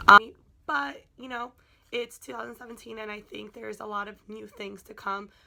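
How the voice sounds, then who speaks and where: With an American accent, a woman speaks at medium pitch in a bright, sharp tone. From US Northeast and Florida. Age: 20s. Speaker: vlogger. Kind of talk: casual chat. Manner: hesitant, many fillers.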